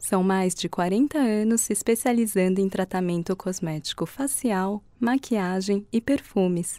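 In a Brazilian accent, a woman speaks at a fairly slow pace with hardly any pauses, medium pitch, ordinary pitch variation and a dark, mellow tone, on a very clean recording with a silent background and a dry, close sound with no echo. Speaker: voice actor. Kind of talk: corporate narration.

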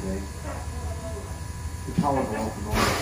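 Over loud background noise and audible room echo, a man speaks at a fairly quick pace. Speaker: train ride guide. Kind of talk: tour guide commentary. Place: train.

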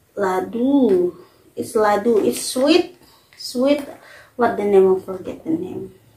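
A woman talks very slowly, and audible room echo can be heard around her. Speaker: food vlogger. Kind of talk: casual vlog chat. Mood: playful, unsure of names. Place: home room. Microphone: camera far.

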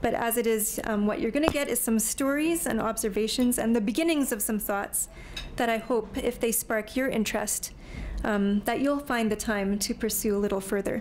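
Over light background noise, a woman speaks at a moderate pace, her pitch varying in an ordinary way. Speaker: speaker. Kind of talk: lecture. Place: hall. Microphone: podium.

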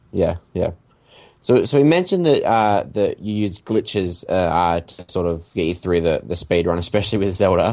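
A man's fairly low-pitched voice, an ordinary speaking voice, at a moderate pace with ordinary pitch variation against a quiet background. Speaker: podcast co-host. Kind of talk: interview.

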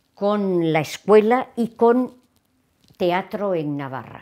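Quiet surrounds the recording. In it, a woman's pitch shifts in an ordinary way. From Navarre, Spain (Tudela); Navarre, Spain. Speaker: retired theatre teacher. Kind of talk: interview. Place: home room. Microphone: lapel.

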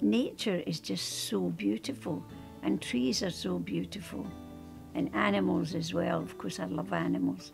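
A woman speaks at a fairly slow pace. Music plays clearly in the background. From Scotland. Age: 80s+. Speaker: painter. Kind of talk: interview answer. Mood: warm, reminiscing. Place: home room.

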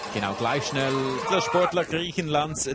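The man speaking has a fairly high pitch. There is noticeable background noise. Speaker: TV sports commentator. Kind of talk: live sports commentary, factual play-by-play. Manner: measured, informative, formal broadcast delivery.

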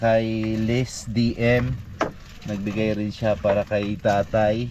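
Noticeable background noise runs behind a man's voice. He speaks in a flat monotone, and the sound is dry with no echo. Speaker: fisherman vlogger. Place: boat. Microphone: camera far.

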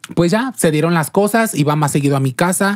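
A woman at a moderate pace, her pitch swinging very widely, with a quiet background. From León, Guanajuato, Mexico; Guanajuato, Mexico. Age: 30s. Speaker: entertainer; podcast guest. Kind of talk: interview. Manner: halting. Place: studio. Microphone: studio mic.

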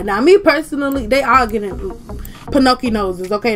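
With noticeable background noise behind her, a woman speaks at a moderate pace in a high pitch, with lively intonation and an animated tone. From Georgia, USA. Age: 20s. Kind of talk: casual commentary over gameplay. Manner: animated, sassy.

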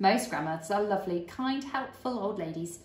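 Lively intonation colors this plain reading aloud.

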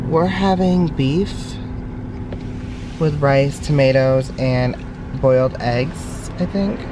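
The recording has noticeable background noise and a dry sound with no echo. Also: man. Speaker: vlogger. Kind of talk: casual vlog chat. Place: car. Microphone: phone near.

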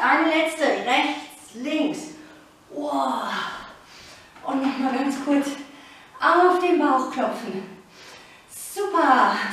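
A woman speaks very slowly at a high pitch, with strong room echo and light background noise. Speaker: fitness instructor. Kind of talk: workout coaching with counting. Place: home room. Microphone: camera far.

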